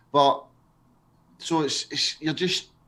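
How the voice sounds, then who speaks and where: A man with a Glaswegian accent. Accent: Glaswegian Scottish. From Scotland, Glasgow. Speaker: live stream co-host. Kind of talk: casual chat. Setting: live stream.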